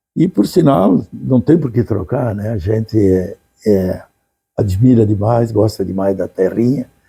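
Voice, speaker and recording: A man talks at a fairly slow pace with a fairly low pitch and ordinary pitch variation. His voice is somewhat breathy, with a dark, mellow tone. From southern Brazil, Gramado (Rio Grande do Sul). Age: 80s+. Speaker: retired businessman and former vice-mayor. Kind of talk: interview. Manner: halting, with false starts.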